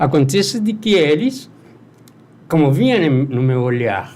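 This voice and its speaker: Man with an Argentine accent, fairly slow pace, very wide pitch swings and audible room echo. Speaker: music producer. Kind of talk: interview.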